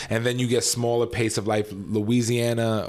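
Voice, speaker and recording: At a fairly quick pace, a man with a New York accent speaks at medium pitch. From New York City. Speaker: pastor. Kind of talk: casual chat. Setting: barbershop.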